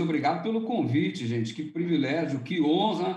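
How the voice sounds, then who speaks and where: With a Rio de Janeiro accent, the speaker uses lively intonation, and audible room echo surrounds the voice. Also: man. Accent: carioca. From Rio de Janeiro, Brazil. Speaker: pastor, youth ministry leader. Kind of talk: casual religious podcast chat.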